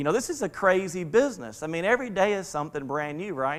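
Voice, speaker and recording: On a very clean recording with a silent background, a man speaks in an animated tone at a moderate pace. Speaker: business coach and conference speaker. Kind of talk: conference keynote speech. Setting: stage with audience. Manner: animated, halting with repeated fillers.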